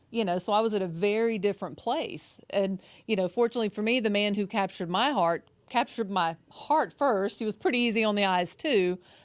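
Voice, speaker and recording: A woman speaks fairly quickly at a medium pitch, her loudness very even and her pitch varying in an ordinary way, on a very clean recording with a silent background. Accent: Southern US. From Mississippi Gulf Coast, US South. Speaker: relationship coach. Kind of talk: casual chat.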